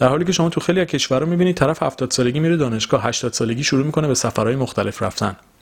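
This man talks very fast, barely pausing at all. His voice sits fairly high, with ordinary pitch variation. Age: 20s. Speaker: podcast host. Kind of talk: solo motivational monologue.

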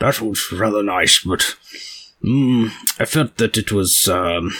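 In a put-on character voice, a man speaks very slowly at a fairly low pitch. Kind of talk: posh, formal. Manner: pompous, flattering.

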